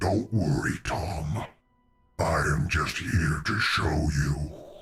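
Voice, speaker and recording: A man's growling put-on character voice, very deep and low, at a very slow pace with very even loudness and ordinary pitch variation. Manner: hissing whisper.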